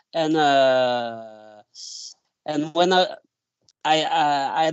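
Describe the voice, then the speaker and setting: A man with a French accent. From France, Isère (between Vienne and Grenoble). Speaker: winemaker. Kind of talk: interview. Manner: halting, many fillers.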